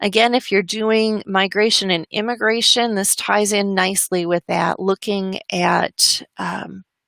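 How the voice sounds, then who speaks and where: In a normal speaking voice, a woman talks at a fairly slow pace in a medium pitch with fairly even intonation, the sound dry and close with no echo. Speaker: webinar presenter. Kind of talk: educational webinar presentation. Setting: online webinar.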